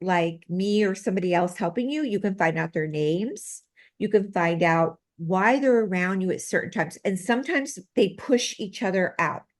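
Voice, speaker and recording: With a plain, everyday voice, a woman speaks at a medium pitch with ordinary pitch variation against a quiet background. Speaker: medical intuitive and healer. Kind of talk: interview.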